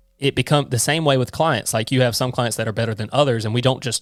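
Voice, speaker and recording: Over a silent background on a very clean recording, a man with a Southern US accent talks at a very fast pace with fairly even intonation, his sound dry and close with no echo. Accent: Southern US twang. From US South, Georgia (near Savannah). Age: 20s. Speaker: accountant, firm owner. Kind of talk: casual podcast interview.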